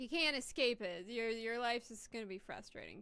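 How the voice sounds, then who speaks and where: Loud and very fast, a woman speaks with a bright, sharp tone and a fairly high pitch. Her pitch variation is ordinary. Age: adult. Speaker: VTuber game streamer. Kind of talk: casual live-stream chat. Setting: home room with door closed.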